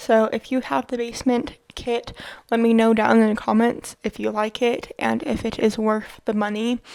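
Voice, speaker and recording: A woman talks at a moderate pace. Her pitch is fairly high. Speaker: video game builder YouTuber. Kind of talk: gameplay voiceover narration. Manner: halting, stumbles over words; casual.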